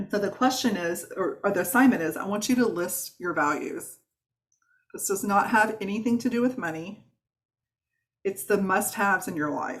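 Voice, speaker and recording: Somewhat breathy and animated, a woman speaks at a medium pitch with ordinary pitch variation. She takes long, frequent pauses. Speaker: wellness coach. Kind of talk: online workshop. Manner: fast.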